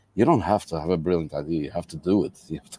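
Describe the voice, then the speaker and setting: A man's dark, mellow tone with lively intonation, in a Portuguese accent. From Madeira, Portugal. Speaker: entrepreneur and conference organizer. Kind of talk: interview conversation. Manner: halting, many fillers.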